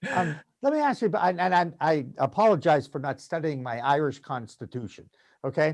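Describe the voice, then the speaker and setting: A man with an American accent and an unremarkable speaking voice, fairly high in pitch, at a moderate pace with lively intonation. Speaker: podcast host. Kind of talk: casual talk show hosting.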